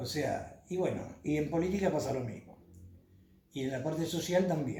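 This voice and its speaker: A man with an Argentine accent speaks at a moderate pace with ordinary pitch variation, and audible room echo surrounds him. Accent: Argentine Spanish (Rioplatense). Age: 70s. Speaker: former city councillor. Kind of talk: interview. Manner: hesitant, frequent fillers.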